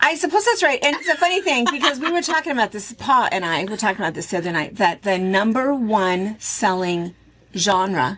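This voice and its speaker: With an American accent, the speaker uses an animated tone, very wide pitch swings and a moderate pace. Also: woman. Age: 60s. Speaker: quilt shop owner and video host. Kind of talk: casual chat.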